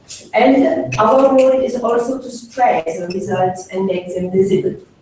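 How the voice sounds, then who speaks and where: Noticeable background noise sits under a woman speaking very slowly. She has a medium pitch with ordinary pitch variation. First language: French. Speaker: funding agency official. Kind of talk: conference speech. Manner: halting, many fillers.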